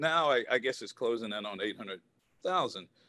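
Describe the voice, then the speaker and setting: A man is speaking here. His pace is moderate. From US South (Southwest Virginia). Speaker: former professional baseball player. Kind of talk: casual interview.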